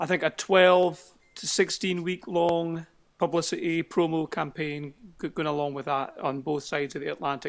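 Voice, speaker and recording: A Scottish accent at a moderate pace, with fairly even intonation, on a very clean recording with a silent background. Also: man, high pitch for a man. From Scotland. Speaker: singer-songwriter. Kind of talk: interview. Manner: hesitant.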